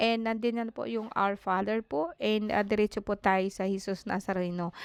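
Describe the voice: A woman's clear, smooth voice at medium pitch, with vocal fry, fairly even intonation and a moderate pace.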